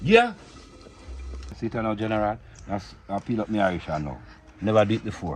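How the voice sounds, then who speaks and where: A man with a Jamaican accent talks at a fairly quick pace in a fairly low voice with ordinary pitch variation. He leaves long pauses often. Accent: Jamaican Patois. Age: 60s. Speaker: Rasta cook. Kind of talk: casual chat while cooking. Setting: outdoors by wood fire.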